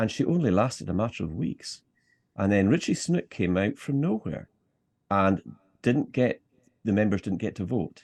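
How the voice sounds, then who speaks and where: Speaking in a Scottish accent, a man uses lively intonation and takes long, frequent pauses. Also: fairly low pitch for a man, moderate pace. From Scottish Highlands. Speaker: political activist. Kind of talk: interview.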